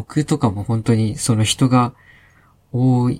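With a dry, close sound and no echo, a man talks in a somewhat breathy voice using fairly even intonation. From Hokkaido, Sapporo. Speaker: IT engineer. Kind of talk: casual chat.

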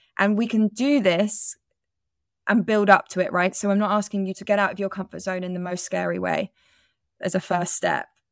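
A woman with an ordinary speaking voice talks at a fairly quick pace in a medium pitch with fairly even intonation, on a very clean recording with a silent background and a dry, close sound with no echo. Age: 30s. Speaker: self-worth coach and yoga teacher. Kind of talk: interview conversation.

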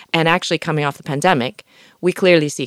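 Over a silent background in a very clean recording, a woman speaks very fast with vocal fry and ordinary pitch variation. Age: 50s. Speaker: venture capitalist. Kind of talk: casual chat.

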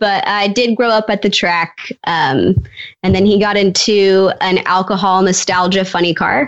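A woman speaks in an ordinary speaking voice at a moderate pace, her intonation fairly even. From Canada, Edmonton. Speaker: drag racing driver. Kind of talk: casual chat.

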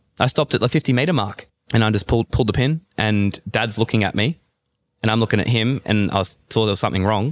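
A very fast man with an Australian accent, fairly low pitch, ordinary pitch variation and very even loudness, in a dry, close sound with no echo and a very clean recording with a silent background. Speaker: CrossFit athlete. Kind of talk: casual chat. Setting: fitness retreat in Bali.

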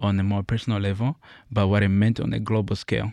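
On a very clean recording with a silent background, a man speaks fairly quickly at a fairly low pitch in a monotone, flat intonation. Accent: East African. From Central/East Africa (born Congo, raised Uganda). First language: not English. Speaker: college student and essay writer. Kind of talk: reading aloud an essay.

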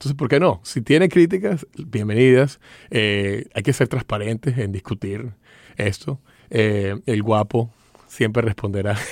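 At a fairly slow pace, a man with a medium pitch and ordinary pitch variation is captured in a dry, close sound with no echo on a very clean recording with a silent background. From Venezuela. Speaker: newspaper opinion editor. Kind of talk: interview. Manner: halting.

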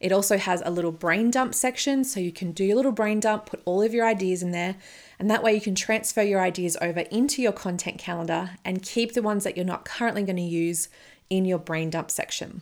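At a fairly quick pace, a woman with an unremarkable speaking voice talks in a medium pitch with ordinary pitch variation. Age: 30s. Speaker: podcast host and business coach. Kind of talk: solo podcast monologue.

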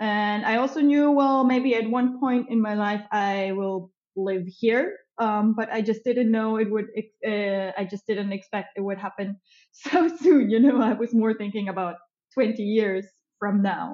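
A woman with a German accent, fairly high-pitched, with ordinary pitch variation and a fairly slow pace. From Germany. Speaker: tourism entrepreneur. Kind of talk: casual interview chat.

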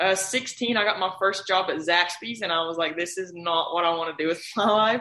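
A woman speaks fairly quickly in an unremarkable speaking voice. Her pitch is medium, with ordinary variation. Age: 20s. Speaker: car wash owner and real estate agent. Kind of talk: interview.

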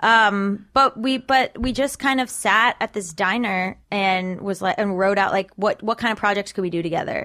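The woman has a normal speaking voice, pitched fairly high. She talks at a moderate pace with ordinary pitch variation. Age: 30s. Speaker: comedian and writer. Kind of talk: casual interview chat.

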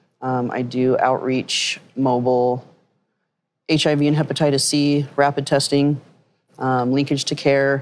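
Monotone, flat intonation at a very slow pace, in an American accent. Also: woman, very deep, low pitch for a woman. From Utah. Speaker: harm reduction nonprofit founder. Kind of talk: panel conversation. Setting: live podcast at a conference.

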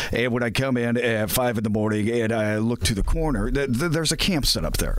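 Over noticeable background noise, a man speaks at a fairly quick pace. His pitch is medium, with ordinary variation. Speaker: traffic reporter. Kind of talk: casual chat.

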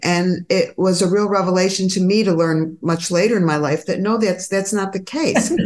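A woman talks at a medium pitch and a fairly quick pace. She has an ordinary speaking voice. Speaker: podcast host, gynecologist. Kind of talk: interview conversation.

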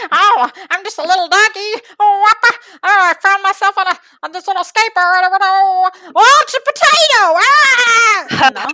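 Extremely high in pitch, this is a put-on character voice. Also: fairly slow pace. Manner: silly, funny.

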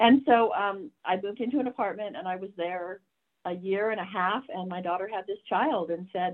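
A woman speaks in a plain, everyday voice at a medium pitch. She talks fairly quickly with ordinary pitch variation. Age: 60s. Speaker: nurse and tapping practitioner. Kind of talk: interview; guided exercise. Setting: video call.

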